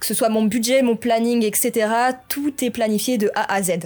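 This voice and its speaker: This woman has a plain, everyday voice pitched fairly high. Her intonation stays fairly even. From France, Normandy. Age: 20s. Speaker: gaming YouTuber. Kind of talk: personal vlog confession.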